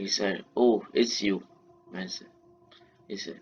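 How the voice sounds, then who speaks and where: A man's fairly low voice with an Indian accent, fairly slow pace and fairly even intonation. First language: Marathi. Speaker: YouTuber telling fan-fiction stories. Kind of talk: improvised storytelling. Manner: halting, frequent self-corrections.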